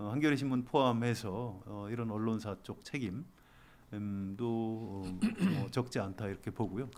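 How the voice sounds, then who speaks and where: With a normal speaking voice, a man talks at a fairly slow pace in a medium pitch with ordinary pitch variation. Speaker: senior newspaper journalist. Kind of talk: interview answer.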